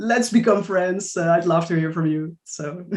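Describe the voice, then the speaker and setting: The speaker talks at a moderate pace with a Dutch accent. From Netherlands. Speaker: writer. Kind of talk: panel discussion.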